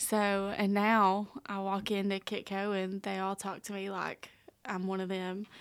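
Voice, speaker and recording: A woman speaks at a fairly slow pace with a Southern US accent. Her intonation stays monotone and flat. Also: medium pitch for a woman, very clean recording, silent background. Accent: Southern US, noticeable. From Tennessee. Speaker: intern and youth group leader. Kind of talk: casual interview chat.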